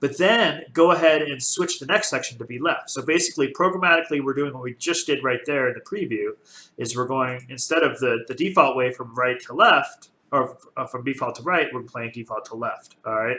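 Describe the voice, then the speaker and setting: The tone is bright and sharp. Pitch varies in an ordinary way. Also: man, fairly high pitch for a man, fairly quick pace, big swings in loudness. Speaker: game development tutorial creator. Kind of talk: tutorial. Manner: fast; casual with many fillers.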